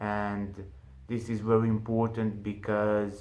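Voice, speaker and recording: In a room with audible echo, a man speaks fairly slowly in a fairly low, monotone, flat voice. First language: not English. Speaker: online business youtuber. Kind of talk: casual tutorial to camera. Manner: halting, with fillers.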